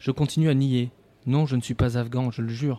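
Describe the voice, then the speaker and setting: A man talks at a fairly quick pace with a dark, mellow tone and fairly even intonation. The recording is very clean with a silent background, dry and close with no echo. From Périgord, France. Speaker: radio host. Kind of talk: live radio show. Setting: studio.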